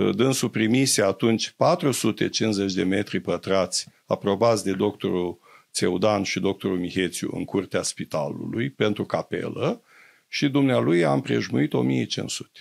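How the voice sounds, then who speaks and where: Speaking at a moderate pace against a quiet background, a man with a fairly low voice and vocal fry swings his pitch very widely. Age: 70s. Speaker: doctor; interview guest. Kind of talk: interview; interview answer. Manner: hesitant, many fillers. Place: studio. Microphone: studio mic.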